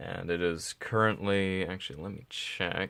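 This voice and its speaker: Quiet and fairly slow, a man with a fairly low pitch speaks on a very clean recording with a silent background. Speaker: vlogger. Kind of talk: casual vlog monologue. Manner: halting, stuttering.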